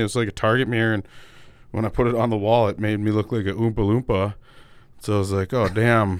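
An American man talks at a very fast pace at a medium pitch. The recording is very clean, with a silent background. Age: 30s. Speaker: podcast host. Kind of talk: casual chat. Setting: studio.

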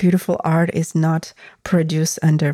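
With a Russian accent, a woman speaks at a fairly slow pace in a fairly low pitch and a dark, mellow tone, on a very clean recording with a silent background. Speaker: podcast host and tantric body worker. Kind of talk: solo podcast monologue.

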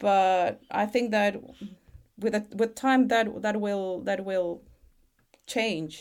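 In a Chilean accent, a woman speaks at a very slow pace with a medium pitch. Her intonation is fairly even, and she takes long, frequent pauses. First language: Spanish. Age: 40s. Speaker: parent, textile and art specialist. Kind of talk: casual interview conversation. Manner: halting, hesitant with restarts.

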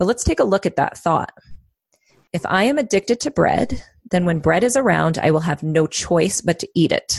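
An unremarkable speaking voice: a woman at a fairly low pitch talks at a moderate pace with lively intonation, the sound dry and close with no echo. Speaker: psychotherapist and life coach. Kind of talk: casual chat.

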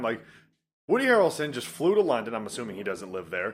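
Speaking very fast, a man with an American accent uses a medium pitch that swings very widely. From Detroit area, Michigan. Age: 20s. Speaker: podcast co-host. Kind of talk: casual chat.

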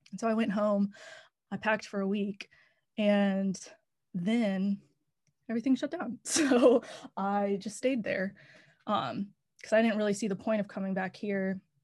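In a quiet background, a woman with an American accent sounds somewhat breathy, using ordinary pitch variation and long, frequent pauses. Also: medium pitch for a woman, moderate pace. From North Carolina, Raleigh. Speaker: songwriter. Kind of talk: casual interview.

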